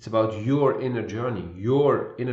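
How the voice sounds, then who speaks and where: At a fairly slow pace, a calm, somewhat breathy voice moves with ordinary pitch variation. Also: man. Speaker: spiritual intuitive coach. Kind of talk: spiritual monologue. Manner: slow with long pauses.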